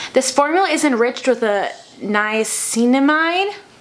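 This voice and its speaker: A woman talks as clearly audible noise runs in the background. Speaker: beauty vlogger. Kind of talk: makeup tutorial. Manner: stumbling over words.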